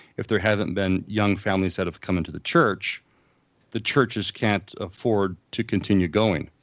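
A man talks at a moderate pace with fairly low pitch, an unremarkable speaking voice, over a quiet background. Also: ordinary pitch variation. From US West Coast, Southern California (Los Angeles, San Fernando Valley). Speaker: pastor. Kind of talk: interview.

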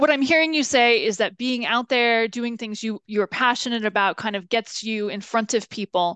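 On a dry, close recording with no echo and a quiet background, a woman with a fairly high, bright, sharp voice speaks at a moderate pace with ordinary pitch variation and hardly any pauses. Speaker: podcast host. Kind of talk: interview.

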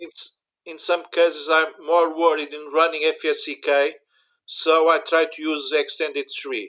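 Monotone and flat, a man speaks at a fairly slow pace in a fairly high pitch with a bright, sharp tone. His loudness swings widely, on a very clean recording with a silent background. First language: Portuguese. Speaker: university IT infrastructure manager. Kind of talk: interview about backup software. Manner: halting, searching for English words.

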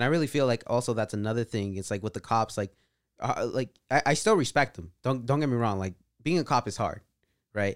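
In a very clean, dry, close recording with a silent background and no echo, a man talks fairly quickly in a medium pitch with ordinary pitch variation and an unremarkable speaking voice. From California Central Valley. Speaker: podcast guest. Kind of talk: casual chat.

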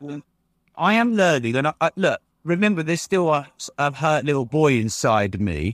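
On a very clean, silent-background recording with dry, close sound and no echo, a man with an English accent speaks at a moderate pace, fairly high in pitch with very wide pitch swings. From England. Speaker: entrepreneur and podcast host. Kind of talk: interview conversation.

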